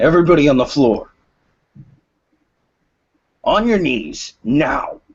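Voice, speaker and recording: In a put-on character voice, a man speaks fairly slowly in a gruff, fairly high tone, with long, frequent pauses. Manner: shouting commands.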